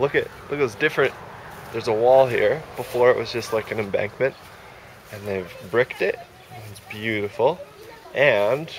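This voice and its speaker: Against light background noise in a dry sound with no echo, a man speaks at a moderate pace with big swings in loudness and long, frequent pauses. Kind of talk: casual vlog chat. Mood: cheerful, excited. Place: garden. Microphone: phone near.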